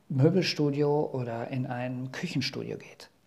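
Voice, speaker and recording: A man's somewhat breathy voice with a dark, mellow tone at a fairly slow pace. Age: 40s. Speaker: master carpenter and podcast host. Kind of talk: solo podcast monologue. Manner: casual with frequent filler sounds.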